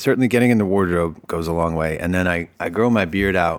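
At a fairly quick pace, a man with an American accent speaks in a very deep, low pitch with ordinary pitch variation. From Boston, US. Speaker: actor. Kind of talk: casual interview. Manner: halting.

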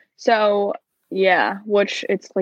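With a New Jersey accent, a woman speaks very slowly at a medium pitch, the sound dry and close with no echo. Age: 20s. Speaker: former theme park worker. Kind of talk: casual chat.

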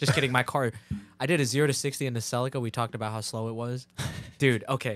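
Talking at a very fast pace, a man with a New Jersey accent keeps a medium pitch. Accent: New Jersey American. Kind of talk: casual chat. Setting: studio. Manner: animated.

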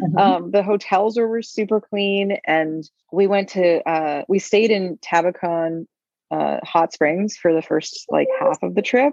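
This woman has a plain, everyday voice, a medium pitch and ordinary pitch variation. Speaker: podcast co-host, single mother by choice. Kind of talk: casual chat.

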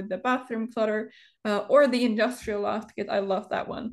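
The speaker has a non-native accent and fairly even intonation. The background is quiet. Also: woman. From Europe. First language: not English. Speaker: Sims builder and content creator. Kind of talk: casual interview chat. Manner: halting, pauses often, many fillers.

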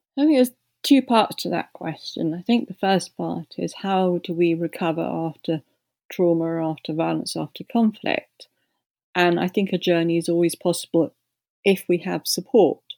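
A woman speaks in a southern English accent at a fairly low pitch. Her pace is moderate, and the recording is very clean with a silent background. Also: ordinary pitch variation, dry, close sound with no echo. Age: 60s. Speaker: peace activist. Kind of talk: interview.

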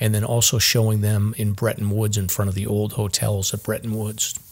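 A somewhat breathy man at a fairly low pitch and a moderate pace. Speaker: hiking and search and rescue podcast host. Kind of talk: casual chat.

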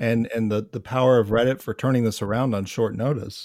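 A man with a normal speaking voice, medium pitch and fairly even intonation, on a very clean recording with a silent background. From upstate New York. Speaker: podcast host. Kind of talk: interview.

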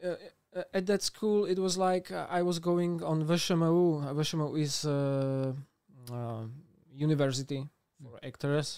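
A man with a Slovak accent, a fairly high pitch, a dark, mellow tone, ordinary pitch variation and a fairly slow pace. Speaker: actor and YouTuber. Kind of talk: casual interview. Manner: halting.

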